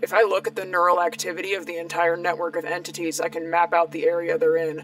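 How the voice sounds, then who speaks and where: A woman's put-on character voice in a raspy, fairly low register, fairly quick and fairly even in intonation, with clear music in the background. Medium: audio drama. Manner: calm, precise, analytical.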